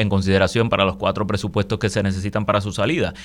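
A man speaks with a fairly low-pitched voice. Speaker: lawyer, guest co-host. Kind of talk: radio talk show discussion. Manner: halting, many fillers.

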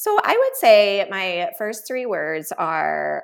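Speaking at a very slow pace in a Chicago accent, a woman is heard on a very clean recording with a silent background. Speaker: nurse practitioner and writer. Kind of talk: interview.

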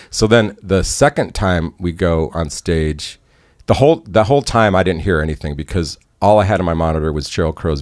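A man with an American accent talks in a very deep, low voice, with vocal fry and lively intonation. The recording is very clean, with a silent background. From Chicago area, US. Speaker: concert photographer and former musician. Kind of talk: casual interview storytelling.

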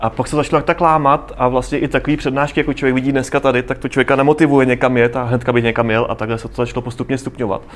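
Fairly even in intonation, a man with a medium pitch talks at a very fast pace. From South Moravia, Czechia. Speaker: travel photographer. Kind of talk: interview before live audience. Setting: café with live audience.

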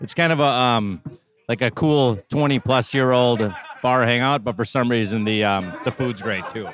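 A man with a Minnesotan accent talks at a moderate pace. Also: medium pitch for a man, ordinary pitch variation. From northern Minnesota. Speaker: guest taco reviewer. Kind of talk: casual chat.

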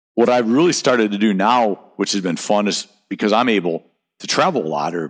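An unremarkable speaking voice with an American accent comes through with lively intonation. The background is quiet, and the sound is dry and close with no echo. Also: man. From US Midwest, Great Lakes region. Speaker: sales professional. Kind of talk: casual interview chat.

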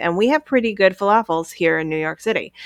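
A woman talks in a normal speaking voice at medium pitch with ordinary pitch variation, the sound dry and close with no echo and the background quiet. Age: 40s. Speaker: podcast host. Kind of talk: casual chat.

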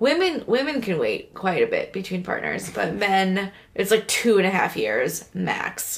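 A woman talks at a fairly slow pace with hardly any pauses. Noticeable background noise runs under her speech. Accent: American. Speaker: podcast host. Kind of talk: casual chat.

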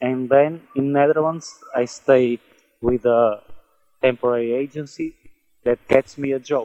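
Speaking with a Portuguese accent, a man uses a medium pitch and a dark, mellow tone at a moderate pace, his intonation monotone and flat, with long, frequent pauses in a dry, close recording with no echo. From Portugal. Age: 20s. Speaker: migrant warehouse worker. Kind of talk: interview. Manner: halting.

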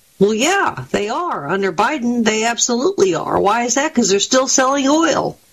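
Very wide pitch swings at a moderate pace. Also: woman. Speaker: political analyst contributor. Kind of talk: interview discussion.

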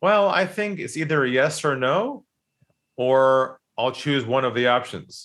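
A man with an American accent speaks in an unremarkable speaking voice, his pitch varying in an ordinary way. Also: medium pitch for a man, fairly slow pace. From San Diego, California. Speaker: sales trainer and author. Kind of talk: casual interview conversation.

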